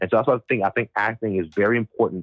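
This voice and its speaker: This man has an American accent and audible vocal fry. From US South (Mississippi). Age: 20s. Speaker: voice actor. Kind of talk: interview.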